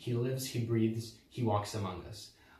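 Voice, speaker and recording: At a moderate pace, a man of medium pitch speaks with noticeable background noise behind him. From Croatia. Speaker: drama student applicant. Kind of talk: audition statement to camera. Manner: hesitant.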